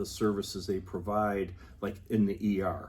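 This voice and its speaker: The speech is monotone and flat at a fairly slow pace, with audible room echo. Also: man. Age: 60s. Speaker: public health official. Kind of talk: interview. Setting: on location at the health department.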